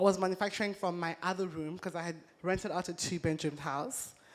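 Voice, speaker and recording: Speaking fairly quickly, a woman uses a medium pitch. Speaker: entrepreneur. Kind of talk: talk to a live audience.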